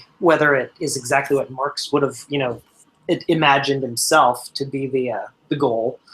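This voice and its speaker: A man with an American accent, an unremarkable speaking voice, fairly high in pitch, fairly quick in pace, with fairly even intonation. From Pennsylvania, US. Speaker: libertarian panelist. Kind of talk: casual group discussion.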